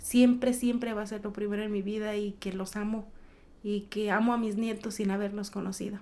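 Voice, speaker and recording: A woman's dark, mellow, fairly high-pitched voice at a moderate pace. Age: 40s. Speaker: small business owner. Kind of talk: interview.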